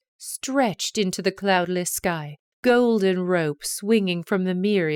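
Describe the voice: The voice is plain reading aloud with ordinary pitch variation. Behind it the background stays quiet.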